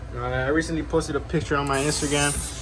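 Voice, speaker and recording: A man is speaking. Noticeable background noise and audible room echo surround his voice. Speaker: reptile keeper and youtuber. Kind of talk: casual room tour video. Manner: fast; casual, filler-heavy.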